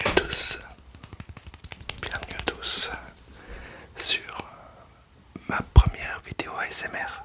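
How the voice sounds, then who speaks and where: A man whispers at a very slow pace, his loudness swinging widely. Long, frequent pauses break his speech over noticeable background noise. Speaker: beginner ASMR YouTuber. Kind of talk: casual talk to camera. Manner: hesitant, nervous, soft-spoken.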